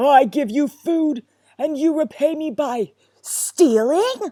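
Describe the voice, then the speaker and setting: This put-on character voice growls at a high pitch and a fairly slow pace in a very clean recording with a silent background. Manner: snarling, angry.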